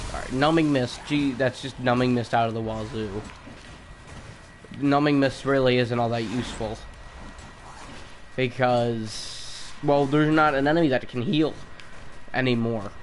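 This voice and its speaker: Amid noticeable background noise and audible room echo, a man at medium pitch speaks at a moderate pace with fairly even intonation and long, frequent pauses. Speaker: gaming streamer. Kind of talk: live gameplay commentary. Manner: halting, repeats words.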